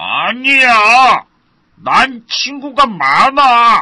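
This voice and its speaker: In a put-on character voice, the speaker goes very slowly at a high pitch. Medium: read story.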